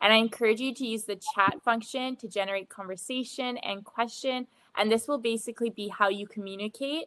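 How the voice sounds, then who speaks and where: Fairly even intonation carries the words along at a moderate pace. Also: woman. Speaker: session moderator. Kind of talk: event introduction. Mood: friendly, smiling. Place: home room. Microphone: video call.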